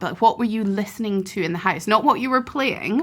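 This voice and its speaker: Here is an unremarkable speaking voice from a woman. She speaks at a fairly high pitch and a fairly quick pace with lively intonation. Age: 30s. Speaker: podcast host, harpist. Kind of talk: podcast interview.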